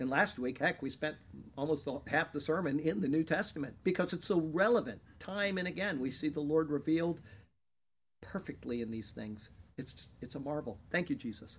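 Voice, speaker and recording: A man with an ordinary speaking voice talks at a moderate pace and a fairly high pitch. His intonation is lively, with big swings in loudness. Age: 50s. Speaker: pastor. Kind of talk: sermon.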